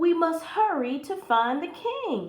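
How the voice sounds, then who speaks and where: Fairly slowly, a woman speaks in a put-on character voice pitched extremely high. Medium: read story.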